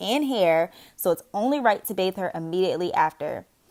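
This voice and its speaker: Speaking in an unremarkable speaking voice with an American accent, a woman at medium pitch talks at a fairly quick pace with lively intonation. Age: 20s. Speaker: single mother and caregiver. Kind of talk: vlog voice-over narration.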